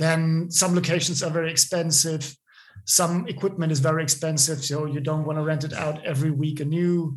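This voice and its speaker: Using a fairly high pitch and monotone, flat intonation, a man with a German accent talks at a fairly quick pace. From Bavaria, Germany. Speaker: film assistant director. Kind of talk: interview. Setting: remote call.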